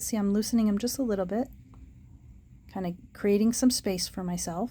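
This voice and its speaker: A woman speaks at a fairly quick pace with a fairly high pitch and fairly even intonation. Her voice is somewhat breathy, with a dark, mellow tone. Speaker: puzzle ring seller demonstrating solutions. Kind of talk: tutorial. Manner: casual.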